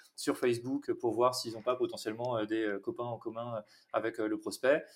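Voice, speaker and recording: A normal speaking voice from a man, medium-pitched and fairly even in intonation. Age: 30s. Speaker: head of sales. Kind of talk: interview.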